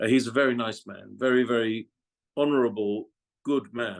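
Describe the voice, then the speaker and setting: The speaker is a man with an English accent. His pitch is medium and his pace moderate. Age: 60s. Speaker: former F1 communications director. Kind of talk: interview. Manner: halting.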